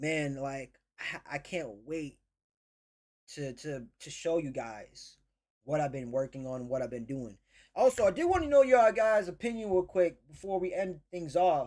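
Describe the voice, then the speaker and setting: Very wide pitch swings mark the speech of a man with an American accent. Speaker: livestream host and financial coach. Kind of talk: casual livestream talk to chat. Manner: stutters at times; animated.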